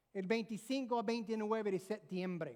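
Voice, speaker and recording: In an English accent, a woman speaks with a fairly high pitch. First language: English (speaking Spanish). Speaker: pastor. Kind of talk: sermon.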